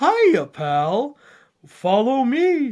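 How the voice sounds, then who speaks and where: This is a put-on character voice that sounds female. It sits at a high pitch. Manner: friendly, upbeat.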